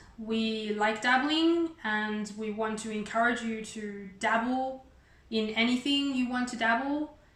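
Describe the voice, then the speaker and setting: Audible room echo surrounds a woman who speaks fairly slowly in a fairly high voice with ordinary pitch variation. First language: Chinese. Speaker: YouTuber. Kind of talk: casual chat. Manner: halting.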